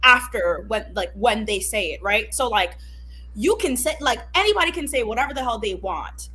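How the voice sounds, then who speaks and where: A woman with a Haitian accent at a moderate pace, music in the background. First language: Haitian Creole. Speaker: podcast guest. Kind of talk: casual discussion.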